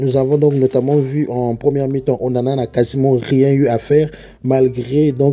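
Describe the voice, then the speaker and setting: A man's monotone voice at a medium pitch, flat in intonation, at a moderate pace. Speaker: football youtuber. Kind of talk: match analysis monologue. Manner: soft-spoken; halting.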